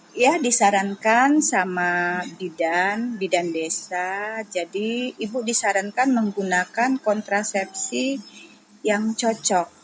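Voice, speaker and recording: A woman talks very slowly, her pitch medium and its variation ordinary. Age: 50s. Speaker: housewife interviewee. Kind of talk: interview.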